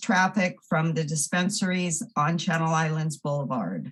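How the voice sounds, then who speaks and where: A woman is speaking. Her voice is somewhat breathy. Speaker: member of the public giving comment. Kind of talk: public comment at council meeting; reading aloud a prepared statement. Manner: halting, stumbling.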